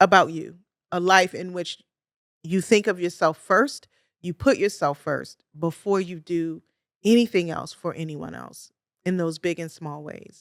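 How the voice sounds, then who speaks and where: A woman with an American accent talks at a fairly slow pace and a fairly low pitch, with ordinary pitch variation. Her loudness swings widely, and the sound is dry and close with no echo. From US, Baltimore, Maryland. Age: 50s. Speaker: podcast host, clinical social worker. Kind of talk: podcast monologue. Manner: energetic.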